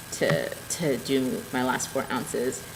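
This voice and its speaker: Through audible room echo and noticeable background noise, a woman speaks with a very deep, low pitch. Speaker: knitting and spinning podcaster. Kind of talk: casual video podcast show-and-tell. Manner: animated.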